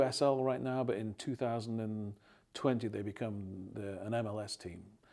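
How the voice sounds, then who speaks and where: With an English accent, a man speaks at medium pitch in a dark, mellow tone. The recording is very clean, its background silent. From England. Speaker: real estate team leader. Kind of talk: interview. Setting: studio.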